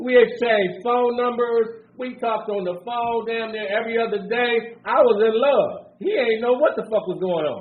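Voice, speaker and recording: A man talks at a moderate pace with an extremely high pitch and ordinary pitch variation. His tone is animated, and there is audible room echo. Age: 60s. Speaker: recovery speaker. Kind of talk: recovery share. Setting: conference stage with audience.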